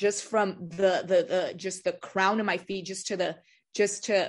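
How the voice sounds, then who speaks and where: A woman with an American accent speaks at a medium pitch in a monotone, flat intonation against a quiet background. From California, Central Valley. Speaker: youth ministry leader. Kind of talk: testimony.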